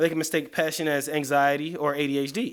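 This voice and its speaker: In an American accent, a man speaks at a fairly high pitch. The recording is very clean, with a silent background. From US South, East Atlanta, Georgia. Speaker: motivational speaker. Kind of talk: live motivational talk. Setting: creative studio, live stream. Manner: fast; animated.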